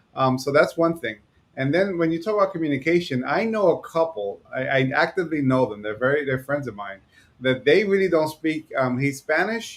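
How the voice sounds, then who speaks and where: Noticeable background noise sits behind a man with a New York accent. His pitch is fairly high and his intonation lively. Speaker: podcast co-host. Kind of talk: casual podcast chat. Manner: fast.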